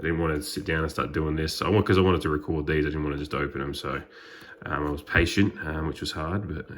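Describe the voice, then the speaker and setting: A man with an Australian accent talks at a very fast pace in a very deep, low pitch over noticeable background noise. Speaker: trading card YouTuber. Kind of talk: unboxing video. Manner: hesitant, many fillers.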